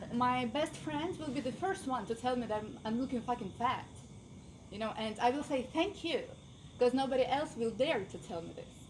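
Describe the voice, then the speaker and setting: There is noticeable background noise behind this woman's voice. She speaks at a moderate pace in a high pitch. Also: ordinary pitch variation. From Ukraine. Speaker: workshop attendee. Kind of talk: group discussion. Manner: halting.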